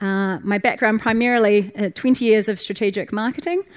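Dry and close with no echo, a woman with a New Zealand accent speaks at a fairly quick pace in a medium pitch with ordinary pitch variation, on a very clean recording with a silent background. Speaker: startup founder. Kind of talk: conference talk. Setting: stage with audience.

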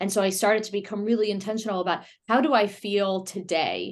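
Speaking at a fairly quick pace, a woman has a plain, everyday voice at medium pitch. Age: 30s. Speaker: singing wellness company founder. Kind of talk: casual interview.

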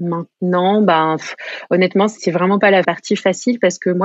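At a moderate pace, a woman talks with fairly even intonation at a medium pitch. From France. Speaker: shop owner. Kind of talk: casual interview chat.

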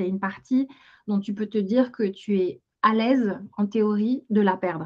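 A somewhat breathy woman at a fairly slow pace. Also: medium pitch for a woman, ordinary pitch variation. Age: 40s. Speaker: financial education entrepreneur. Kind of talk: interview. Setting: video call.

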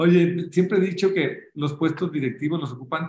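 A man's voice with ordinary pitch variation. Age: 40s. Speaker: football club marketing director. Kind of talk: interview. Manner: halting.

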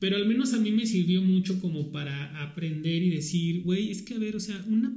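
Audible room echo surrounds a man with a high pitch and a dark, mellow tone. He talks at a fairly slow pace with ordinary pitch variation. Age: 30s. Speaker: podcast host. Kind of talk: casual chat.

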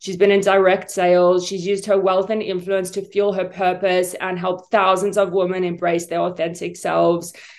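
At a moderate pace and medium pitch, a woman talks in a monotone with flat intonation and hardly any pauses. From South Africa. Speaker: podcast host. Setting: video call.

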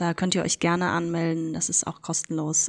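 On a very clean recording with a silent background, a woman speaks at a moderate pace in a fairly low voice. Her intonation is monotone and flat, and the sound is dry and close with no echo. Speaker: diversity consultant. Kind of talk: interview.

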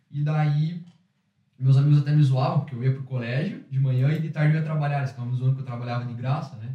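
A man's very fast, fairly high, dark and mellow voice, somewhat breathy, with fairly even intonation. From Curitiba, southern Brazil. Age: 20s. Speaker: entrepreneur, former exchange student. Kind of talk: casual interview. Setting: studio with small audience.

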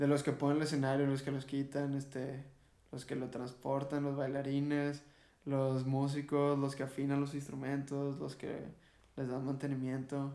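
A man with a fairly high pitch and a dark, mellow tone talks at a fairly slow pace in a monotone, flat intonation, with audible room echo. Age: 20s. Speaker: rock band vocalist. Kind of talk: casual chat.

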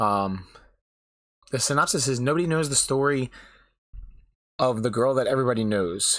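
A man speaks at a fairly quick pace with a medium pitch. The recording is very clean, the background silent. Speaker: anime podcaster and Twitch streamer. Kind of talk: casual podcast monologue, live stream. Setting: live on Twitch. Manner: halting, with many fillers.

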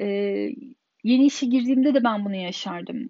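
A moderate pace with ordinary pitch variation. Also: woman. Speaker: podcaster. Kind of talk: personal monologue.

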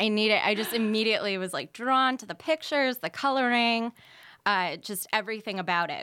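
In a very clean recording with a silent background, a woman talks fairly quickly with an American accent. Her fairly high voice has a bright, sharp tone and lively intonation. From Pennsylvania, Erie. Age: 20s. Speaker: comedian. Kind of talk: casual chat with tarot readings.

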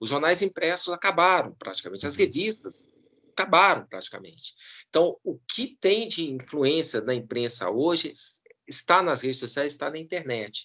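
Fairly high for a man, this voice swings very widely in pitch and carries vocal fry. He talks at a moderate pace against a quiet background. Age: 50s. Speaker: professor and pollster. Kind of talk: interview.

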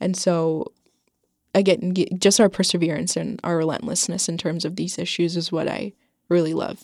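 A woman with an American accent talks at a moderate pace in a fairly low pitch, her intonation fairly even. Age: young. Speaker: recent high school graduate, workshop facilitator. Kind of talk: interview. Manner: hesitant, many fillers.

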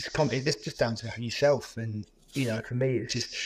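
A man talks with a British accent. His delivery is somewhat breathy and moves at a moderate pace. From Cyprus. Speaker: adventurer, former marine. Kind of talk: casual interview chat.

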